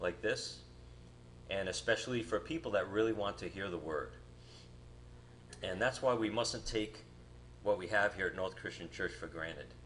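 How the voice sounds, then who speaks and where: Light background noise sits behind a man who speaks at a moderate pace with long, frequent pauses. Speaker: guest preacher. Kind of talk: sermon. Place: church.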